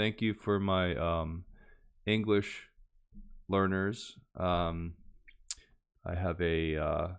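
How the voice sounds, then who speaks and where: A man's very deep, low voice at a very slow pace, with ordinary pitch variation. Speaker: language learning youtuber. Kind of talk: casual tutorial outro. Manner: slow and clear; hesitant, many fillers.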